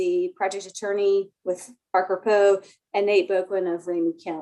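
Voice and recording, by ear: Soft-spoken and slightly mellow, a woman talks at a moderate pace and medium pitch with little pitch movement.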